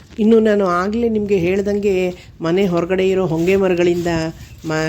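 A woman speaks at medium pitch. Noticeable background noise is present. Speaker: gardening vlogger. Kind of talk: casual vlog talk. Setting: home garden, outdoors.

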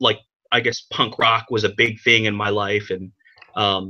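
Against a quiet background, a man with a bright, sharp tone talks at a moderate pace. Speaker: remote guest. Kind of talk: interview answer. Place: home room. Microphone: webcam.

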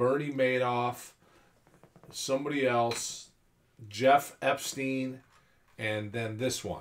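Pausing long and often, a man with an American accent talks very slowly with fairly even intonation. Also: medium pitch for a man. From California. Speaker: UFO enthusiast. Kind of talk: casual chat.

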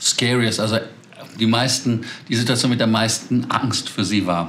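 A man speaks with monotone, flat intonation. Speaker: aviation news host. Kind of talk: news commentary to camera. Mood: amused, chatty. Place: home room.

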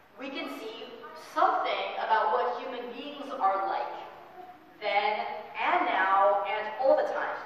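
Amid strong room echo and light background noise, a woman with a high voice speaks at a fairly slow pace. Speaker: pastor. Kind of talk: sermon. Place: church. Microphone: camera far.

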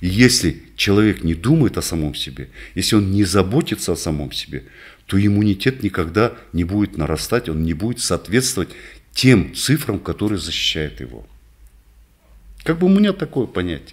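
Against a quiet background, a man with vocal fry and a fairly low pitch speaks at a moderate pace, his pitch swinging very widely, with long, frequent pauses. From northern Kazakhstan. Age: 60s. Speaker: doctor, rehabilitation specialist; guest. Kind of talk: interview. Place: office. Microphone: studio mic.

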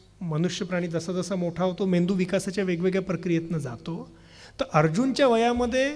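Ordinary pitch variation in a man's high voice. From Vidarbha, Maharashtra (Gadchiroli); Maharashtra, India. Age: 30s. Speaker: youth program leader and speaker; speaker. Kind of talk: public lecture. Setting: stage with audience. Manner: fluent flowing delivery. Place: stage. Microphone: podium.

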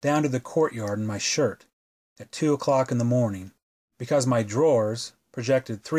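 This is reading aloud in a natural voice, with ordinary pitch variation. The background is quiet.

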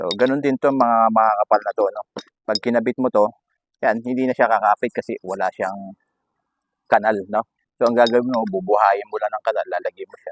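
A man with an ordinary speaking voice, medium pitch, fairly even intonation and a fairly quick pace, in a dry, close sound with no echo. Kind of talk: tutorial. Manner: casual, frequent filler 'no?'.

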